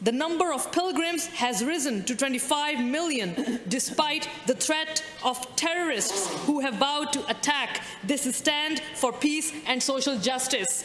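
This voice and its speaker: Light background noise and audible room echo accompany a woman speaking at a fairly slow pace in a high pitch with ordinary pitch variation. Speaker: member of provincial legislature. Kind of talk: parliamentary speech. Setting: legislature chamber. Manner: formal; measured. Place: hall. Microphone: podium.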